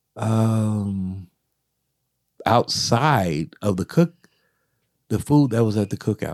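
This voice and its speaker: With an American accent and ordinary pitch variation, the speaker goes at a very slow pace with long, frequent pauses, in a dry, close sound with no echo and a very clean recording with a silent background. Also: man, fairly low pitch for a man. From US South. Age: 50s. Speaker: podcast co-host. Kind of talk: casual chat.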